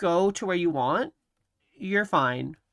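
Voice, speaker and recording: A woman's bright, sharp voice with lively intonation, in a very clean recording with a silent background. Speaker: vtuber streamer. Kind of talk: casual chat. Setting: live stream. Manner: soft-spoken.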